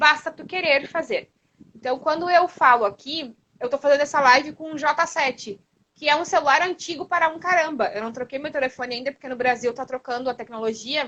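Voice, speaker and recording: Energetic in tone, a woman speaks at a fairly quick pace with a high pitch and big swings in loudness. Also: ordinary pitch variation. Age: 30s. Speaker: online entrepreneur, mentor. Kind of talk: interview on a live stream. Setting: live stream from her phone. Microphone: old smartphone.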